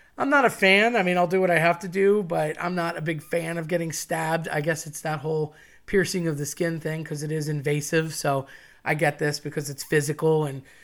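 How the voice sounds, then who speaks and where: The pace of speech is fairly quick. The recording is very clean, with a silent background. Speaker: podcast host. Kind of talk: solo podcast monologue. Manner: loud.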